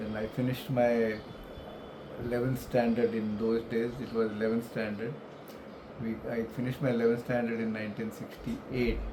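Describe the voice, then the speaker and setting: Amid noticeable background noise and audible room echo, a man of medium pitch speaks at a moderate pace in a monotone, flat intonation with long, frequent pauses. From India, Mumbai. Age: 70s. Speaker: retiree telling his life story. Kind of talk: life story interview. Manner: hesitant, many fillers.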